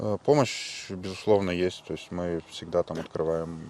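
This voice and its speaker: Here a man speaks at a moderate pace with a very deep, low pitch. His intonation is fairly even. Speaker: volunteer fighter. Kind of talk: interview. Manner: hesitant, filler-heavy.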